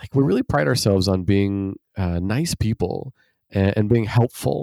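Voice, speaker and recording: A man's fairly low, dark, mellow voice with an American accent, dry and close with no echo. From Idaho, US. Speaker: nonprofit founder. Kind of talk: interview. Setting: remote call.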